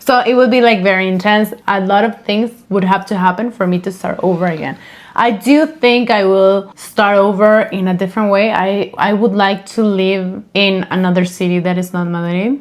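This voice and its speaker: With a Spanish accent, a woman speaks at a moderate pace and medium pitch. Her pitch varies in an ordinary way. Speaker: podcast co-host. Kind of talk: casual chat. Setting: home recording.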